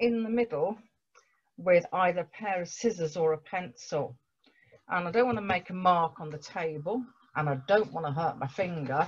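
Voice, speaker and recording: Somewhat breathy and fairly low for a woman, her voice moves at a fairly slow pace over light background noise. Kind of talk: tutorial. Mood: gentle, patient. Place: home room. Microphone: webcam.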